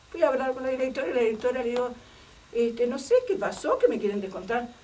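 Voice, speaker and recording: Very fast and high-pitched, a woman talks with ordinary pitch variation amid noticeable background noise and audible room echo. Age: 60s. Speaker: retired secondary school worker and former political persecution witness. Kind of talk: testimony. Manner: halting, many fillers.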